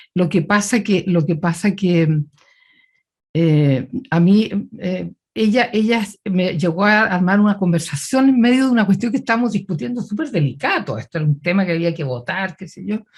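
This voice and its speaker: The voice comes out somewhat breathy, with lively intonation and a moderate pace. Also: woman, medium pitch for a woman. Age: 70s. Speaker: politician and physician. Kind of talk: interview.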